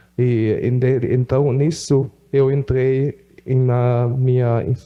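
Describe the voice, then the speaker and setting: A man speaks with a German accent at a medium pitch. His intonation stays monotone and flat. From Brazil (Rondônia) and Germany. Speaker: missionary. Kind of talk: testimony. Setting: church. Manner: halting, many fillers.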